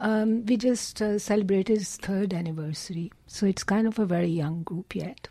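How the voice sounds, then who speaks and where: A woman speaks at a moderate pace with a Punjabi accent. Her pitch is medium and varies in an ordinary way. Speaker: poet. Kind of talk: radio interview. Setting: studio. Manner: halting.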